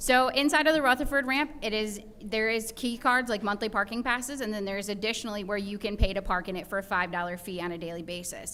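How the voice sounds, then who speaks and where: Very fast and with hardly any pauses, a woman speaks at a fairly high pitch in a bright, sharp tone with ordinary pitch variation. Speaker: city department staff. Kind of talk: answering questions at council meeting.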